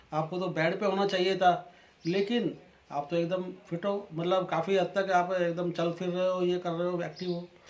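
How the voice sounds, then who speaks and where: The speech has monotone, flat intonation at a moderate pace, with noticeable background noise. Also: man, high pitch for a man. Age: 60s. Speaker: customer giving testimonial. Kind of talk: testimony.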